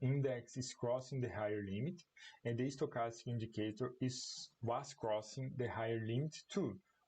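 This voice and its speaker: This man has a medium-pitched voice, somewhat breathy, with a non-native accent. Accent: non-native English, apologizes for it. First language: Portuguese. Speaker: commodity market analyst. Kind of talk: live-streamed market analysis. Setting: online livestream. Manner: halting.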